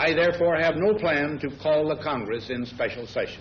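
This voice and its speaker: Noticeable background noise under a man's moderately paced speech with ordinary pitch variation. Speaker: head of state. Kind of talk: formal policy statement.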